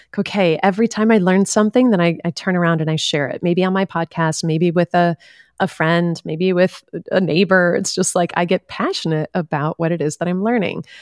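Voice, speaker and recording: An unremarkable speaking voice moves at a fairly quick pace with fairly even intonation, captured in a very clean recording with a silent background and a dry, close sound with no echo. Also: woman, fairly low pitch for a woman. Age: 40s. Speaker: life coach and podcast host. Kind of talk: casual interview conversation.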